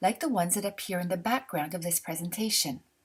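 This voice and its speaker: A woman speaks with a Canadian French accent in a somewhat breathy voice. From Canada. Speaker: calligraphy instructor. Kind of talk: tutorial.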